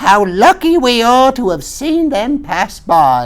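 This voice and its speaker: Fairly slow delivery in a put-on character voice with a fairly high pitch. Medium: read story. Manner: tart, contrary.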